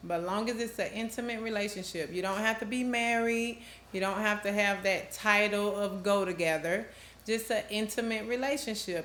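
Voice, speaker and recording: A woman with an American accent speaks at a medium pitch and a moderate pace, with ordinary pitch variation. Noticeable background noise and audible room echo come through. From US South, Georgia (Rome). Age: 30s. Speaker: domestic violence advocate, organization founder. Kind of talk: interview testimony.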